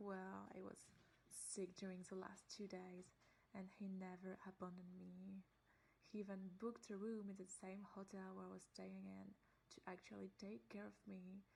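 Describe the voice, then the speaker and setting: Speaking with a French accent, a woman uses a somewhat breathy voice at a medium pitch and moderate pace, her intonation fairly even. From France. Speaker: friend. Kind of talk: testimony.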